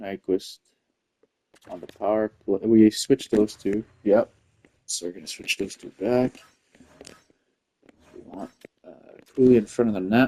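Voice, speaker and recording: A man with a dark, mellow tone and fairly low pitch speaks at a moderate pace with fairly even intonation, long, frequent pauses and big swings in loudness, in a dry, close sound with no echo. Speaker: gaming video creator. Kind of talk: gameplay commentary. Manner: casual, with many fillers.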